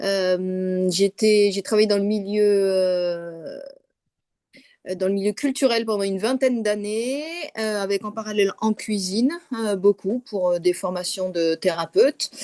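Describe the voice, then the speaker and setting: A woman's medium-pitched voice, dark and mellow in tone, moves at a fairly slow pace in a dry, close sound with no echo. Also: ordinary pitch variation. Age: 60s. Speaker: course participant. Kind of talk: testimony.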